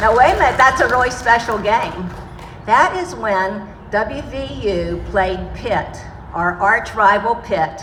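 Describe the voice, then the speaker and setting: A woman's fairly high, lively voice amid audible room echo and noticeable background noise. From Pittsburgh, Pennsylvania. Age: 60s. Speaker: community speaker. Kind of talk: speech. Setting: outdoor market event with audience. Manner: hesitant, many fillers.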